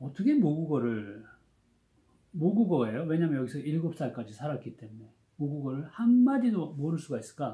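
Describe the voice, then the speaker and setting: Somewhat breathy and dark, mellow in tone, a man's fairly high voice swings very widely in pitch at a moderate pace. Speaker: education professor. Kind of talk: lecture. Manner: casual, conversational storytelling.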